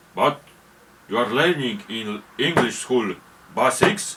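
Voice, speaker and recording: Very slow speech from a man, noticeable background noise underneath. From Poland. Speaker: YouTuber. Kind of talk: casual monologue. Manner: halting.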